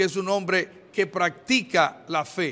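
This man's voice has a bright, sharp tone. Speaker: pastor giving press statement. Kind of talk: press statement. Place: hall.

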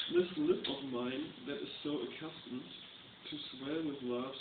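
A man speaks at a moderate pace with a fairly high pitch. Loud background noise runs behind him. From Germany. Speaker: reader. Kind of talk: poetry reading. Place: home room. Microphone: webcam.

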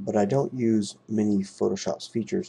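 At a moderate pace and medium pitch, a man talks in a somewhat breathy voice with a dark, mellow tone. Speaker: digital artist, video creator. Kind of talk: tutorial-style narration over art video. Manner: hesitant, many um fillers.

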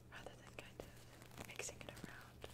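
A woman is whispering. She is soft-spoken. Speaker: tea product reviewer. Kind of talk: soft-spoken show-and-tell, ASMR-like. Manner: soft close ASMR whisper. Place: home room.

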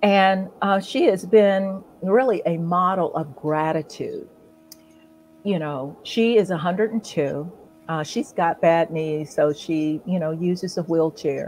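Over background music, a woman with an American accent talks very slowly, her pitch fairly low and her pitch variation ordinary. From Ohio, US Midwest. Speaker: author and coach. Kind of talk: casual chat. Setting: live stream. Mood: warm, grateful, animated. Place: home room. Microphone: video call.

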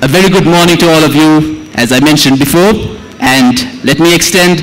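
A woman with a normal speaking voice, fairly low in pitch. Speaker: event host. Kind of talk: ceremony announcement. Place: hall.

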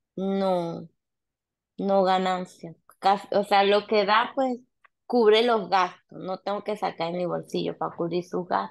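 A woman speaks at a very slow pace with fairly even intonation. Long, frequent pauses break her speech against a quiet background. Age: 30s. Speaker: nail salon owner. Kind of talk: mentoring session. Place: home room. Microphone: video call.

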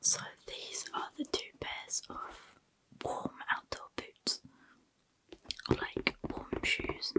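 Someone whispers at a very slow pace. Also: woman. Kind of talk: soft role-play shop chat. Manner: soft, hushed ASMR speech close to mic. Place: home room. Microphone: studio mic.

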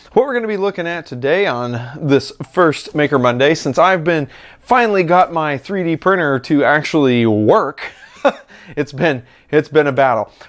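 The background stays quiet as a man speaks at a moderate pace. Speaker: maker channel host. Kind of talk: casual vlog chat. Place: workshop. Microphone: lapel.

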